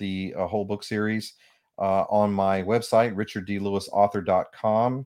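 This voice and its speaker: In a very clean recording with a silent background, a man with an unremarkable speaking voice talks at a moderate pace and a fairly low pitch. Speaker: author and spiritual counselor. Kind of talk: radio interview.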